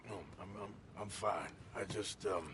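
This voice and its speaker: Against clear background noise, a man does a put-on character voice at a fairly low pitch and a moderate pace. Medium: video game. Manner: terse, drawling.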